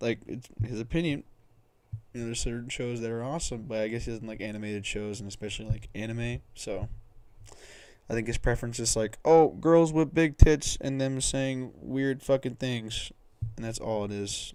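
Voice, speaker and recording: A man talks at a moderate pace, mumbling, with big swings in loudness. His tone is dark and mellow, and the recording is very clean with a silent background. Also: ordinary pitch variation. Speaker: streamer. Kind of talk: casual chat. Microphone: cheap mic on high sensitivity.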